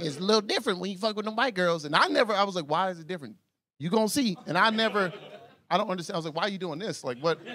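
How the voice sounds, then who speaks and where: In an American accent, the speaker goes at a very fast pace with a bright, sharp tone and a raised, projected voice over light background noise. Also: man, high pitch for a man. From US South, Atlanta, Georgia. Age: 30s. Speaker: stand-up comedian. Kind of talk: raunchy stand-up comedy set before a live club crowd. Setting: comedy club stage with audience. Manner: loose, animated storytelling punctuated by his own laughter; exaggerated shrieks and mock voices when acting out women. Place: stage. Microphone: handheld.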